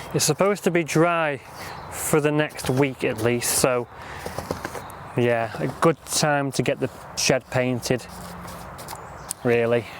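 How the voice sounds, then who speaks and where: In a Lancashire accent, a man speaks at a very slow pace with long, frequent pauses. His medium pitch shows ordinary variation against noticeable background noise. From northern England, Lancashire. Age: 20s. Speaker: gardening vlogger. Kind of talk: casual monologue while working. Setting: outdoors at allotment. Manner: rambling, chatty.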